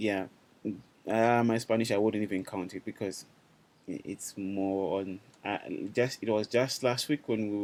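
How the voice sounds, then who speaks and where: With a Zimbabwean accent, a man speaks at a fairly low pitch with fairly even intonation. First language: Shona. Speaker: language teacher. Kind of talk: online class. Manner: halting.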